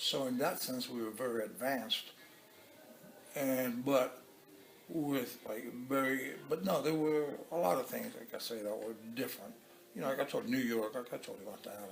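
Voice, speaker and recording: Medium-pitched male voice at a moderate pace, ordinary pitch variation, noticeable background noise. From Cuba. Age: 70s. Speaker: interviewee. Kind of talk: casual interview. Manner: halting, repetitive.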